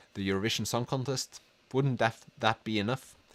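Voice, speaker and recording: A man speaks in a Norwegian accent at a moderate pace, with medium pitch and ordinary pitch variation. The sound is dry and close, with no echo. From Norway. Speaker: book youtuber. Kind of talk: livestream chat reading comments. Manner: halting.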